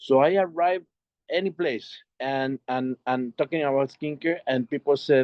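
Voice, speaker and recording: This man has a Mexican accent and a fairly high pitch. He talks at a moderate pace with ordinary pitch variation. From Mexico. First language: Spanish. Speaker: network marketing entrepreneur. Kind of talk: video call presentation. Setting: video call. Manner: halting, many repetitions.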